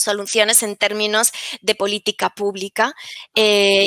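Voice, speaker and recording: The voice has a bright, sharp tone and a dry, close sound with no echo. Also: woman. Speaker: researcher presenting a study. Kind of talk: academic conference talk. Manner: halting, many fillers and repetitions.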